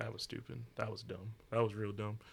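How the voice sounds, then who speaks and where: A man's fairly low, somewhat breathy voice with a Southern US accent, animated in tone, at a fairly quick pace. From US South. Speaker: rapper and jazz artist. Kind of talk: casual chat. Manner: animated, joking.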